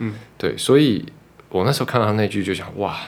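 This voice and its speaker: At a moderate pace, a man speaks with a fairly low pitch and vocal fry. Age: 30s. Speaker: podcast host. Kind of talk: casual chat.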